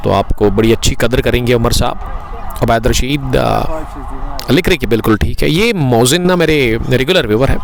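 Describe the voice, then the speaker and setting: Animated in tone, a man speaks with very even loudness and hardly any pauses against noticeable background noise. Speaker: cricket commentator. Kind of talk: live commentary.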